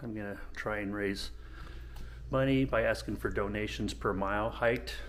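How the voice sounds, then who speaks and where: A man keeps a moderate pace while audible room echo hangs around his words. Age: 60s. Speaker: vlogger, long-distance hiker. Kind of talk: casual vlog. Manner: halting, many fillers.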